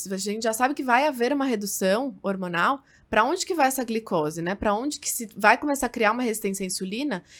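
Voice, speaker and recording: Against a silent background in a very clean recording, a woman with a fairly high pitch speaks at a very fast pace with hardly any pauses. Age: 30s. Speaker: nutritionist podcast host. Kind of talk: casual interview.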